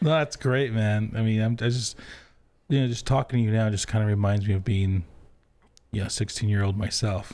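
With long, frequent pauses and very even loudness, a man speaks at a fairly quick pace in a fairly low pitch, his dark, mellow tone showing ordinary pitch variation. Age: 40s. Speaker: podcast host. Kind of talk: casual interview. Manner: casual, laid-back. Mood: warm, relaxed. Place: studio. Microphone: studio mic.

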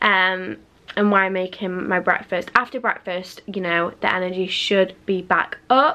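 A woman speaks at a moderate pace in a raspy, put-on character voice pitched at a medium level. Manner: flat, sleepy.

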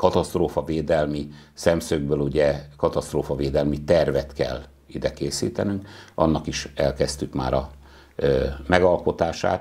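A man with vocal fry speaks with fairly even intonation over a quiet background. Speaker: town mayor. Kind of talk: interview. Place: studio. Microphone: lapel.

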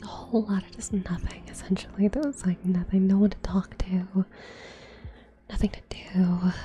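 Noticeable background noise accompanies speech at a moderate pace with long, frequent pauses. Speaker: streamer. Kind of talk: casual chat. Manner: whispering.

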